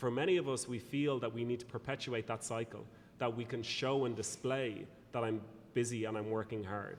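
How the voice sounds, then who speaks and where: A man speaks with an Irish accent. His intonation stays fairly even. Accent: Irish, engaging lilt. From Ireland. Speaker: speaker and consultant on productivity. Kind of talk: interview.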